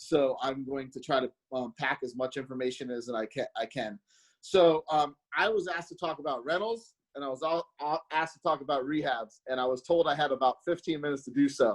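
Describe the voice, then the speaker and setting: Speaking at a fairly quick pace, a man uses a fairly high pitch with ordinary pitch variation. His loudness swings widely, and the sound is dry and close with no echo. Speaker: real estate investor. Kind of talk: seminar presentation. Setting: video call. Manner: hesitant, many fillers.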